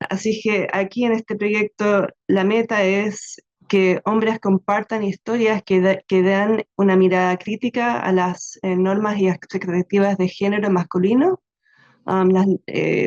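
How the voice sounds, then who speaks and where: Speaking at a fairly slow pace, a woman keeps a medium pitch and a monotone, flat intonation. Her loudness stays very even, and the sound is dry and close with no echo. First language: English (speaking Spanish). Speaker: researcher presenting a storytelling project. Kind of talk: answering a question in an online webinar. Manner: halting, many fillers.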